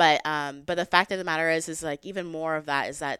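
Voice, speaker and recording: With an American accent and a normal speaking voice, a woman talks at a fairly quick pace and a fairly low pitch, her intonation fairly even. The recording is very clean, with a silent background and a dry, close sound with no echo. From Texas. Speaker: gun rights advocate. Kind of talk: casual chat.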